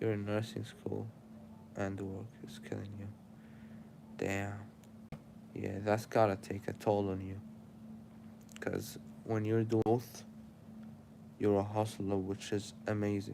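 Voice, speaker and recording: A man speaks in a dark, mellow tone with monotone, flat intonation. He goes at a fairly slow pace with long, frequent pauses. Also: fairly low pitch for a man. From Syria. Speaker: live streamer. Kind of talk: casual live stream chat. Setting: live stream. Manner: casual, rambling.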